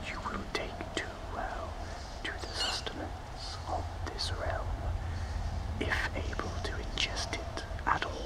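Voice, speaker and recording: A soft-spoken, gentle-toned voice at a very slow pace over loud background noise. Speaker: character narrator. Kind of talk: roleplay audio drama. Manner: soft-spoken, gentle spooky spectre voice.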